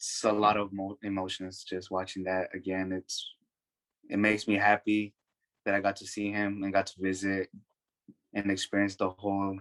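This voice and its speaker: A man's fairly low voice in a Spanish accent, monotone and flat, at a moderate pace, with a dry, close sound and no echo. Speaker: young documentary filmmaker. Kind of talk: panel discussion. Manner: halting, with many fillers.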